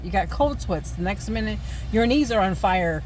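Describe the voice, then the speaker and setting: Noticeable background noise and audible room echo accompany a woman who speaks at a fairly quick pace. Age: 50s. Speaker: vlogger. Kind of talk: casual chat. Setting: in a car.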